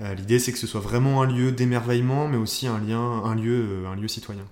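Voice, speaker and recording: Ordinary pitch variation at a fairly quick pace. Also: man. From northern France (Nord, near Lille). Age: 20s. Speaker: entrepreneur. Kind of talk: interview. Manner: hesitant, many fillers.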